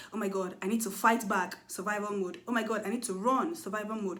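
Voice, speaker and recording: A woman speaks in a fairly high, somewhat breathy voice. Audible room echo fills the recording. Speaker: mental health vlogger. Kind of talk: educational monologue. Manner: fast.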